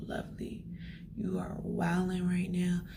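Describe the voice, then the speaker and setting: Soft-spoken whispering at a fairly slow pace. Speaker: faith vlogger. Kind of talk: casual vlog. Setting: study room. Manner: whispering, soft.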